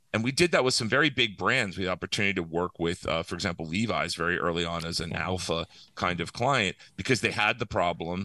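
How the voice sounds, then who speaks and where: Very fast speech from a man with a very deep, low pitch and an American accent, bright and sharp in tone, ordinary in pitch variation, dry and close with no echo against a quiet background. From Pennsylvania, US. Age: 50s. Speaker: startup founder. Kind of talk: interview.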